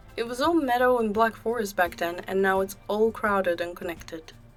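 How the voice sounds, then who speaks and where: A woman's medium-pitched voice with ordinary pitch variation over background music. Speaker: video game builder. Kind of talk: casual gaming voiceover. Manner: friendly, cutesy.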